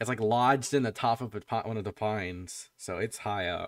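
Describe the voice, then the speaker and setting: A man's voice with a dry, close sound and no echo. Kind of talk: tabletop roleplay session. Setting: voice call with players. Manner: casual, halting.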